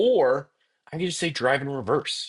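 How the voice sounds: A man talks at a moderate pace with medium pitch. His voice has a slightly husky edge. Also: lively intonation.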